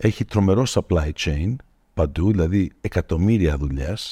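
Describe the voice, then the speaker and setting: Speaking at a fairly slow pace, a man with a very deep, low pitch and a dark, mellow tone uses lively intonation, in a very clean recording with a silent background and a dry, close sound with no echo. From Greece (Attica) until age 9, then United States. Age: 50s. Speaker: tech executive. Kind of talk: interview conversation. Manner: mixes English words into Greek.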